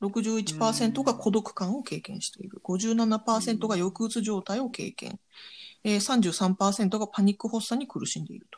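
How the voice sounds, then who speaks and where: A woman speaks at a fairly high pitch, somewhat breathy, with fairly even intonation and big swings in loudness. The recording is very clean, with a silent background. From Japan. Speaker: podcast host. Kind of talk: news digest with casual commentary.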